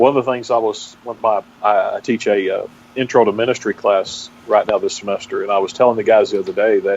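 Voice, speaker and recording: Talking at a fairly quick pace, a man speaks with a strong Texas accent. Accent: strong Texas brogue. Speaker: pastor. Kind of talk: interview. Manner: halting.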